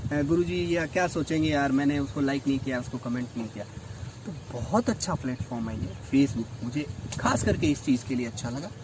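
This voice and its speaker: Against noticeable background noise, a man with a medium pitch talks at a moderate pace with lively intonation. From Rajasthan, India. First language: Rajasthani (speaking Hindi). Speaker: English lecturer and writer. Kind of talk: interview conversation.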